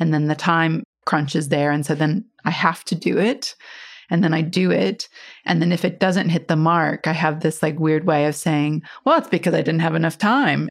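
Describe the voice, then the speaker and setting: A woman with an American accent speaks at a moderate pace and a fairly low pitch, with ordinary pitch variation and very even loudness, in a very clean recording with a silent background. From US Midwest, Iowa. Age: 40s. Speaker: design firm co-founder. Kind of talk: interview conversation.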